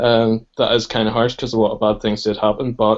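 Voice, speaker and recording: The man's voice has a medium pitch and moves at a moderate pace. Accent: Northern Irish. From Northern Ireland. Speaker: podcast guest. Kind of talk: casual political discussion.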